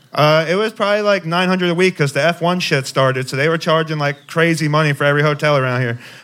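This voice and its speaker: Talking at a very fast pace, a man with an American accent uses a fairly high pitch. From Youngstown, Ohio. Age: 20s. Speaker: amateur comedian. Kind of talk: stand-up then interview. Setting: stage with live audience.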